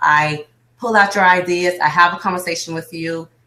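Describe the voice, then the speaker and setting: A woman with an American accent speaks in a fairly low pitch with a bright, sharp tone. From Miami, Florida. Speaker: business coach. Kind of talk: interview. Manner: fast.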